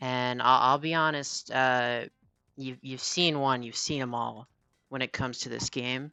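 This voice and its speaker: Music plays behind a woman whose very deep, low pitch holds a monotone, flat intonation. She speaks at a fairly slow pace. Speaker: video game reviewer. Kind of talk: casual game review commentary. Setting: recorded at night, no audience. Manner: halting, many fillers and repetitions.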